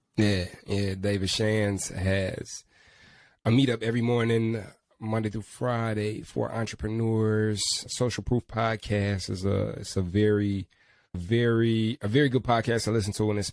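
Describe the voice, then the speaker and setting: A man speaks in an ordinary speaking voice at a fairly low pitch. His intonation is fairly even, and his pace is moderate. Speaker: podcast host. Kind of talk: casual chat.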